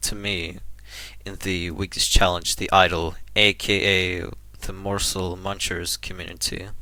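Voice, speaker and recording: Vocal fry and a bright, sharp tone with a non-native accent, in a very clean recording with a silent background. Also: man. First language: not English. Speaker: indie game developer. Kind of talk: unscripted casual talk to camera. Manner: hesitant, halting.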